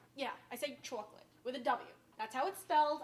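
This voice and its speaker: With a strong downstate New York accent, a woman speaks using ordinary pitch variation. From Westchester, New York (downstate). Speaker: cooking show host. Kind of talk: cooking demonstration. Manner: casual, chatty.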